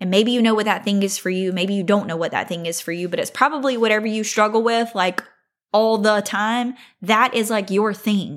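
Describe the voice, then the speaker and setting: A woman talks in a plain, everyday voice at a fairly high pitch, fairly quickly and with fairly even intonation. The recording is very clean, with a silent background. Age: 30s. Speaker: podcast host. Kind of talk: solo faith podcast talk. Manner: conversational.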